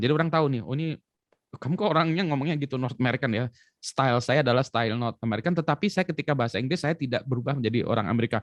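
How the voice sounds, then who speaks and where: With an Indonesian accent, a man talks at a very fast pace in a medium pitch with lively intonation, the sound dry and close with no echo. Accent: Indonesian accent when speaking English. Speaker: education expert. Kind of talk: talk show conversation.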